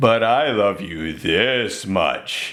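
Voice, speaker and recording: Raspy and medium in pitch, a man performs a put-on character voice. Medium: read story. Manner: gentle, warm.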